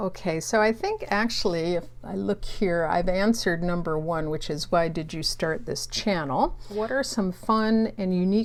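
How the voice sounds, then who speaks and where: This woman talks fairly slowly. Her voice is medium in pitch. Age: 60s. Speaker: booktuber. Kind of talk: casual vlog talk. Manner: hesitant, many fillers.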